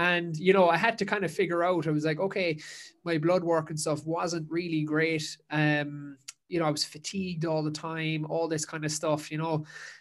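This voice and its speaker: A man with a Kerry accent, fairly high in pitch, at a moderate pace with monotone, flat intonation. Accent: Kerry Irish. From Ireland, Dingle, County Kerry. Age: 20s. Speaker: endurance coach and podcaster. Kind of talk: casual interview. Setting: remote call.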